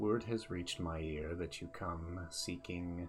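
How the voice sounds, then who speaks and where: In a put-on character voice, a man speaks fairly slowly in a calm tone at a very deep, low pitch, with clear music in the background. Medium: actual play. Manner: calm, serene, unhurried.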